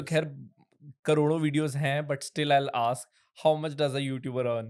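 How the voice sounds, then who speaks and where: A man speaks in an unremarkable speaking voice at a fairly high pitch. His pace is moderate and his intonation fairly even. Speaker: podcast host. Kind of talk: podcast interview questions.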